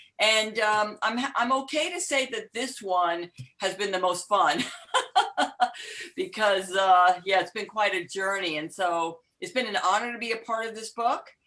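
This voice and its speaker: In a New York accent, a woman speaks fairly slowly in a fairly high pitch, her tone bright and sharp and her intonation lively. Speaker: empowerment coach. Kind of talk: casual chat. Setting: video call.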